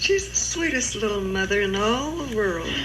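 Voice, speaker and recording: A woman speaks at a fairly slow pace, with audible room echo and noticeable background noise around her. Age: 80s+. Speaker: elderly family member recorded by relatives. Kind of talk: casual family chat with singing.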